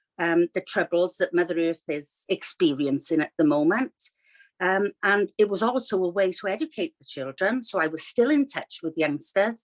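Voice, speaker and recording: A woman with a Welsh accent, medium pitch, lively intonation and big swings in loudness. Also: moderate pace, dry, close sound with no echo. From Wales. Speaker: children's author, retired teacher. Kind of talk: interview. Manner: hesitant, many fillers.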